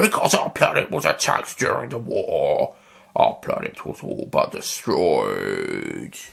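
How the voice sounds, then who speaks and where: A put-on, growling character voice from a man at a fairly slow pace. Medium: read story. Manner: menacing.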